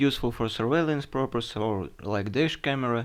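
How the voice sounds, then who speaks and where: A man with a Russian accent speaks with ordinary pitch variation. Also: quiet background. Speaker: tech reviewer. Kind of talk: product review. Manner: halting.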